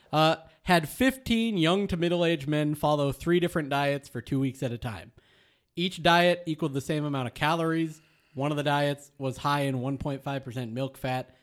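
A man with a plain, everyday voice and an American accent speaks at a moderate pace and fairly high pitch with ordinary pitch variation, on a very clean recording with a silent background. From Michigan, US. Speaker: podcast co-host and producer. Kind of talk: casual chat. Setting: studio.

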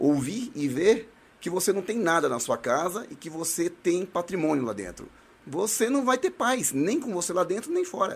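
Speaking at a high pitch, a man swings very widely in pitch. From Brazil, Northeast. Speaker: municipal guard and shooting club instructor. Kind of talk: casual chat.

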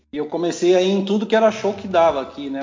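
A man's voice with ordinary pitch variation and music playing in the background. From Porto Alegre, southern Brazil, then São Paulo from 15. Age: 40s. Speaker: punk/hardcore musician. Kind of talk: casual interview.

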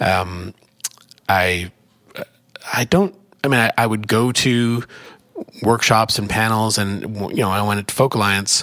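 Speaking with an American accent, a man uses a fairly low pitch and fairly even intonation at a fairly slow pace, with long, frequent pauses. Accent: Canadian, noticeable to Midwesterners. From Canada. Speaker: executive director of a folk music organization, musician. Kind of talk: interview conversation. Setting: conference room with street noise.

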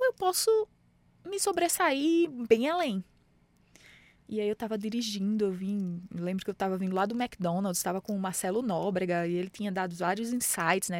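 A woman with a northeastern Brazilian accent at a moderate pace. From Brazilian Northeast, Mossoró, Rio Grande do Norte. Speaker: startup founder and CEO. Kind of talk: interview.

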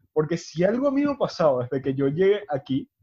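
In a plain, everyday voice, a man talks at a moderate pace with lively intonation. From Venezuela. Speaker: podcast host. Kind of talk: casual chat.

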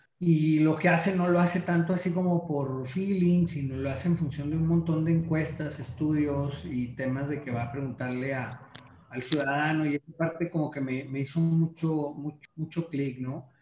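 A man with a fairly high voice speaks at a moderate pace with hardly any pauses. His intonation is fairly even, and background noise is noticeable. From Mexico, La Laguna region (Coahuila/Durango). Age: 40s. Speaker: marketing consultant. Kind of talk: casual interview chat. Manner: halting, with fillers and repetitions.

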